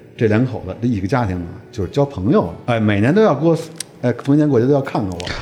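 A medium-pitched male voice at a very fast pace, with lively intonation and noticeable background noise. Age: 50s. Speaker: surgical oncologist. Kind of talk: casual chat. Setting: family home.

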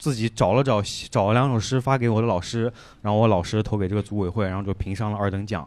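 In a very clean recording with a silent background, a man talks very fast with fairly even intonation. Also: fairly low pitch for a man. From Shanghai. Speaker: stand-up comedian. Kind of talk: stand-up.

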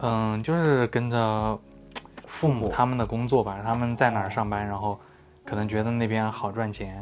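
Here a man speaks at a moderate pace in a medium pitch. His intonation stays fairly even. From Xinjiang, later Chongqing. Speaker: photography blogger. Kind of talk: casual chat.

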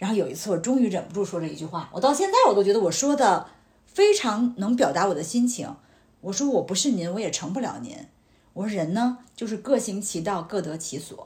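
With an ordinary speaking voice, a woman talks at a fairly quick pace using lively intonation. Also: medium pitch for a woman. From Tianjin, China. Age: 40s. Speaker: insurance agent, former media professional. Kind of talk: casual chat.

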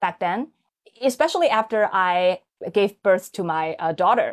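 A woman with a Chinese accent speaks at a fairly slow pace in a medium pitch with lively intonation. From China, Hangzhou area (Zhejiang). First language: Mandarin Chinese. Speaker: podcast host. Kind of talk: casual chat.

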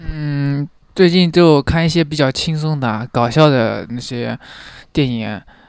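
At a very slow pace, a man speaks in a fairly high voice with ordinary pitch variation. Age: 20s. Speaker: young office worker. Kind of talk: casual chat. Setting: in person with host in Shanghai. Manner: calm, even-toned.

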